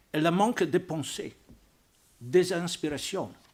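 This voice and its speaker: A man with a non-native accent speaks at a very slow pace. His pitch is high. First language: not French (speaking French). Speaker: archbishop and Vatican diplomat. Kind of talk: panel talk. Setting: press club debate with audience. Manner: halting.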